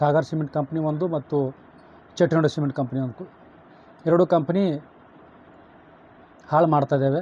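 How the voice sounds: At a moderate pace with long, frequent pauses, a man speaks at a fairly high pitch with a dark, mellow tone, a slightly husky edge and fairly even intonation.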